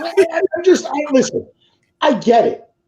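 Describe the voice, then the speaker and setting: A man speaks in an animated tone at an extremely high pitch. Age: 30s. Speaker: talk show host. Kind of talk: casual chat.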